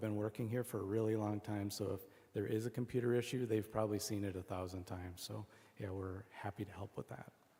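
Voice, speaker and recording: With a fairly low pitch and a dark, mellow tone, a man talks at a fairly quick pace in a monotone, flat intonation. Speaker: panel moderator and staff member. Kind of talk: panel Q&A answer. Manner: loud.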